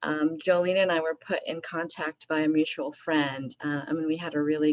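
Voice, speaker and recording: An unremarkable speaking voice comes through with an American accent. The pace is moderate and the sound is dry and close, with no echo. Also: woman. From upstate New York, US. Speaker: elected official. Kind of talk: community meeting discussion.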